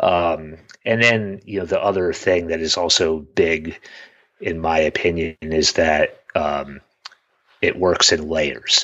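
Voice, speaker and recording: His voice is very deep and low, and the man speaks at a very slow pace with fairly even intonation. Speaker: iPhone photographer and podcast co-host. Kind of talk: casual interview chat. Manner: halting, many fillers.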